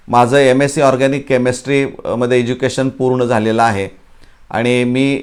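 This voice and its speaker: Monotone and flat, a man's medium-pitched voice carries on. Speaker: retired chemistry lecturer, education YouTuber. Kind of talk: talk to camera. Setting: small room at home. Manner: halting.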